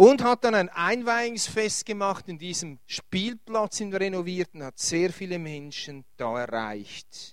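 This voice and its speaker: A man speaks very slowly in a high voice, with hardly any pauses. His intonation is lively, and his loudness swings widely. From Switzerland, Winterthur area. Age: 50s. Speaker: pastor. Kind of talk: lecture. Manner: halting.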